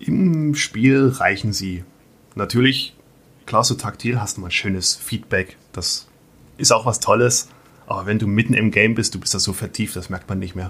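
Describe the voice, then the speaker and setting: A man's mid-pitched, ordinary speaking voice, with ordinary pitch variation and a moderate tempo. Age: 30s. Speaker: metalworker and podcaster. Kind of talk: casual interview.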